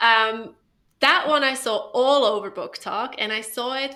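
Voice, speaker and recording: A woman with a non-native accent. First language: not English. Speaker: book review podcast co-host. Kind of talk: casual chat. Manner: animated.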